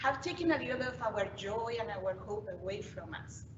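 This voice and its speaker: Speaking in a Colombian accent at a moderate pace, a woman uses a medium pitch with very wide pitch swings, amid noticeable background noise and audible room echo. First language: Spanish. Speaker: youth ministry leader. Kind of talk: keynote talk.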